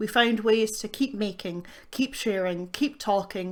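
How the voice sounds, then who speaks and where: This woman has a normal speaking voice, fairly high in pitch with ordinary variation. She talks at a moderate pace in a very clean recording with a silent background. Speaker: spoken word poet. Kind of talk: poetry reading.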